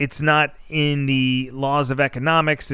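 On a very clean recording with a silent background, a man speaks at a very slow pace in a fairly high pitch. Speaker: podcast host. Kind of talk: solo rant podcast. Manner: animated.

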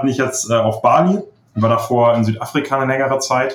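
A man's medium-pitched voice holds fairly even intonation as he talks very fast. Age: 20s. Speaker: online seller. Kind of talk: interview.

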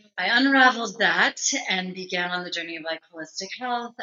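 A woman's unremarkable speaking voice with ordinary pitch variation. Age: 30s. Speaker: sensuality and relationship coach. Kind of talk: casual chat.

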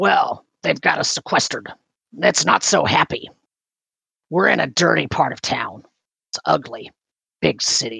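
Using a put-on character voice, a man speaks raspily at a moderate pace, with long, frequent pauses. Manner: weary, complaining.

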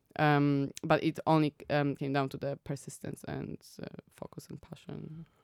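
With a Polish accent, a woman speaks at a moderate pace in a very deep, low pitch, her intonation monotone and flat while her loudness swings widely, in a dry, close sound with no echo. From Poland. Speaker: app founder. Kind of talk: interview.

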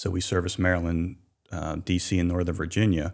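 In a Mid-Atlantic American accent, a man with a very deep, low pitch speaks fairly quickly with monotone, flat intonation, recorded very cleanly against a silent background. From southern Pennsylvania, Hanover. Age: 50s. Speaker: shellfish distribution business owner. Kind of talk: radio interview. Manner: many filler words and restarts.

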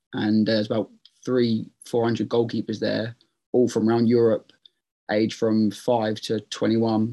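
Speaking in an East Anglian accent, a man uses a medium pitch and a dark, mellow tone, keeping a moderate pace and a flat, monotone intonation. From eastern England, Ipswich. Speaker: professional footballer. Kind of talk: casual chat.

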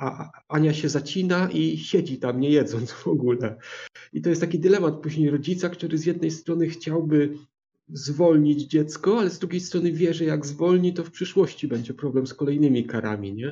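Moderately paced speech from a man, fairly high and somewhat breathy, with ordinary pitch variation. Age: 50s. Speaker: book podcaster. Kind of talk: casual chat.

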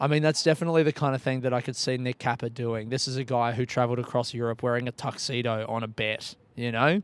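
A man with an Australian accent talks at a very fast pace. He keeps fairly even intonation with hardly any pauses. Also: medium pitch for a man. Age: 30s. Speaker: podcast host and comedian. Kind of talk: podcast intro monologue; casual chat. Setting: outdoor courtyard.

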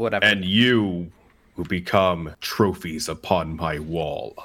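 A man uses a put-on character voice at a very slow pace, very deep and low in pitch with ordinary pitch variation. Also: very clean recording, silent background. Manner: menacing, commanding.

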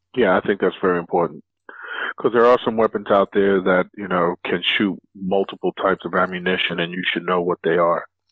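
A very deep, low male voice with an American accent, monotone, flat intonation and a fairly quick pace. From New York City (South Bronx). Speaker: former Marine, gun enthusiast. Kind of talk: casual chat.

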